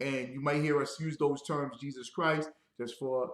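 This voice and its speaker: A man is speaking. His pitch sits fairly high. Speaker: religious radio show host. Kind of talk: religious teaching broadcast. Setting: livestream. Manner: loud. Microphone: bad reverb.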